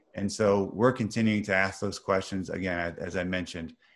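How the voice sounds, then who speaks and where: On a very clean recording with a silent background, a man with a Midwestern American accent speaks at a fairly low pitch. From US Midwest (Missouri). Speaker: business executive in procurement. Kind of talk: interview.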